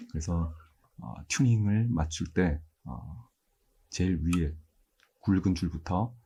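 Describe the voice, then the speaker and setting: A man's very deep, low voice, soft-spoken and somewhat breathy, with a dark, mellow, calm tone, ordinary pitch variation and a fairly slow pace. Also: very clean recording, silent background. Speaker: university mathematics professor. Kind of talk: ASMR-style lecture, calm educational talk. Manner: soft-spoken, calm, sleep-inducing.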